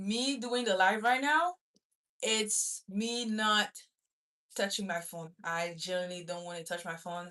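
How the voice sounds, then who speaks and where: A woman speaks fairly slowly with a French accent. Her tone is bright and sharp, and her loudness swings widely. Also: medium pitch for a woman, ordinary pitch variation. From Gabon. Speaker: student livestreamer. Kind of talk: casual chat. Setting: livestream.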